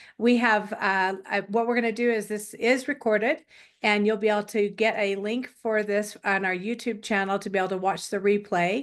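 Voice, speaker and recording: With a plain, everyday voice, a woman speaks at medium pitch and a moderate pace, her intonation fairly even against a quiet background. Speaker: wellness class instructor. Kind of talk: online class presentation.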